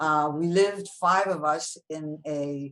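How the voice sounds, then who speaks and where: With a French accent, a woman speaks at a very deep, low pitch. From France, moved to New York at eleven. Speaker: foundation president. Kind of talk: interview, life story. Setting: video call. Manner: conversational, some hesitations.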